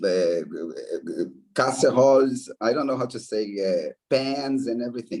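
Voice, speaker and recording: In a Brazilian accent, a man of medium pitch speaks at a moderate pace with a dark, mellow tone. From Brazil, Belo Horizonte, Minas Gerais. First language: Portuguese. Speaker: anthropologist, professor. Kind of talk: interview. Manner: halting.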